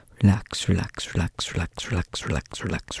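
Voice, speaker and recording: Someone whispers at a moderate pace. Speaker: ASMR creator. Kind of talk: soft ASMR whisper talk. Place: home room. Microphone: studio mic.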